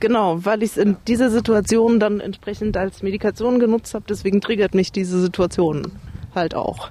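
A woman has a plain, everyday voice at a medium pitch. She talks at a moderate pace with fairly even intonation. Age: 30s. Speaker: recovering alcoholic. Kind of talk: interview testimony.

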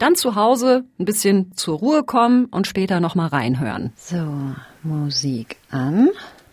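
Her tone animated and her pitch swinging very widely around a medium level, a woman speaks at a fairly slow pace on a very clean recording with a silent background. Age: 30s. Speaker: podcast host, science journalist. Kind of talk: casual narrated podcast. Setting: outdoors in a courtyard.

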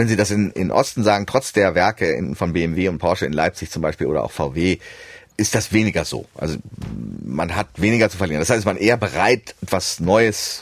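A man speaks at a moderate pace in a very deep, low voice with vocal fry. His pitch varies in an ordinary way. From Germany, Hannover and Düsseldorf; half of youth in USA. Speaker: economist, research institute president. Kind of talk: explanatory interview chat.

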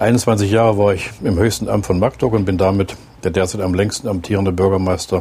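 Using an unremarkable speaking voice, a man talks at a fairly quick pace with fairly low pitch and fairly even intonation. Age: 60s. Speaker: city mayor. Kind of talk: interview; reading aloud. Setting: in a bus and outdoors.

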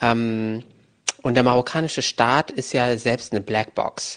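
The man's intonation is monotone and flat. He speaks at a fairly slow pace against a quiet background. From Germany, Moroccan family. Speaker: journalist and author. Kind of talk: interview. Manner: hesitant, many filler sounds.

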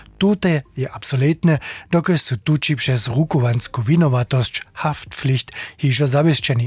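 A man's fairly high-pitched, somewhat breathy voice with lively intonation. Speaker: radio reporter. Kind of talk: radio interview explainer.

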